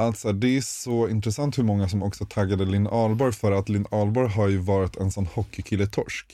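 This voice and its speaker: A man with a dark, mellow tone speaks fairly quickly at a fairly low pitch, with fairly even intonation and very even loudness. The recording is very clean and the background silent. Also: hardly any pauses. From Stockholm, Sweden. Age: 20s. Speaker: podcast co-host, bank business developer. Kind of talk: casual chat.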